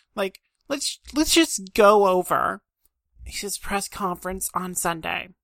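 The sound is dry and close, with no echo. A woman speaks very slowly at a medium pitch, her intonation lively. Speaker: sports podcast host. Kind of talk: solo podcast monologue.

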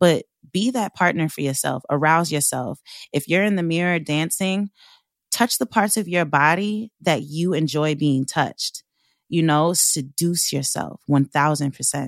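On a very clean recording with a silent background and a dry, close sound with no echo, a woman with a New York accent talks at a fairly slow pace, fairly low in pitch, with ordinary pitch variation. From US Northeast, Long Island, New York. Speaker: burlesque dancer and sex work activist. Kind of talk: interview.

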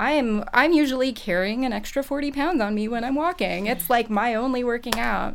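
Background noise is noticeable as a woman talks. Her voice sits fairly high, with lively intonation. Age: 30s. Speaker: elementary school teacher, twin mother. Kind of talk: panel discussion. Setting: studio. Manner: casual with fillers.

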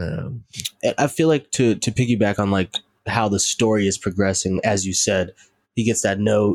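Speaking with an American accent, a man with an ordinary speaking voice talks at a moderate pace, fairly low in pitch with ordinary pitch variation. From North Carolina, US South. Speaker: musician. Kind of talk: casual chat.

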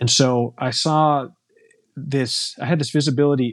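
This man speaks with an American accent. His intonation stays fairly even. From US. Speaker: entrepreneur, company founder. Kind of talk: interview conversation. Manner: hesitant, frequent fillers.

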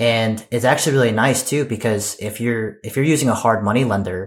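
A man with an unremarkable speaking voice and medium pitch talks at a fairly quick pace with fairly even intonation, in a very clean recording with a silent background. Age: 30s. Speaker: army officer and real estate investor. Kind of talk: interview.

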